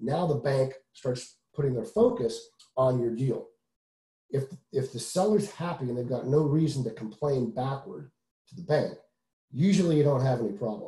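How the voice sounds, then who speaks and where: A man with an American accent, fairly high in pitch, with a dark, mellow, somewhat breathy tone, a moderate pace and long, frequent pauses, in audible room echo against a quiet background. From US South. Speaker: real estate investor; guest. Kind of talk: webinar presentation. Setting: video call. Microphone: video call.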